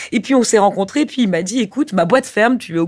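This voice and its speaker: A woman's fairly high voice, very fast pace and lively intonation. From Corsica. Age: 40s. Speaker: film producer. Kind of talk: interview. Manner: halting.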